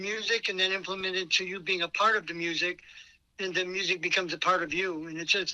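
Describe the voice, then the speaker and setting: In a bright, sharp tone, a man with a high voice projects loudly at a fairly quick pace. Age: 70s. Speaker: band drummer. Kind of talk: interview.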